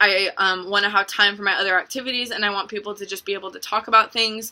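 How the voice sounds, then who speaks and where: A woman's medium-pitched voice, bright and sharp in tone, with flat, monotone intonation. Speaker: college student presenter. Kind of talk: self-critique reflection. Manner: halting, many ums.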